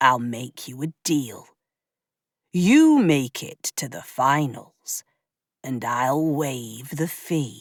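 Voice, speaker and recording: A put-on character voice sits at a low-to-middle pitch. It moves at a very slow pace. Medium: read story. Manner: affable, easygoing.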